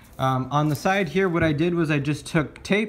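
Ordinary pitch variation from a man at a moderate speed. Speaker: DIY car vlogger. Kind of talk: tutorial. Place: garage. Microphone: phone near.

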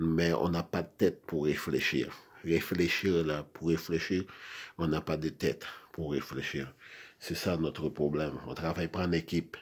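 With a very deep, low pitch, a man speaks at a fairly slow pace in a monotone, flat intonation. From Haiti. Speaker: video blogger. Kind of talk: monologue rant. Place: home room. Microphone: phone near.

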